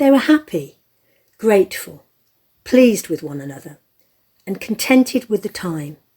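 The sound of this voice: A woman's medium-pitched voice with a dark, mellow tone, a slightly husky edge, big pitch swings and a fairly slow pace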